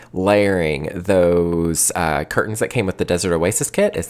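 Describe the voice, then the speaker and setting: A drawling voice in a Southern Appalachian accent, on a very clean recording with a silent background. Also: man. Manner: drawl that drops letters and syllables.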